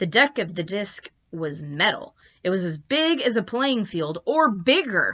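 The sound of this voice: A woman talks at a fairly slow pace. Her intonation is lively. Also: medium pitch for a woman, fairly bright tone.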